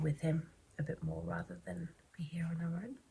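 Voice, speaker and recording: With an English accent, this soft-spoken voice has a dark, mellow tone and vocal fry. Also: woman. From England. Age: 30s. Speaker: vlogger. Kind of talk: casual chat.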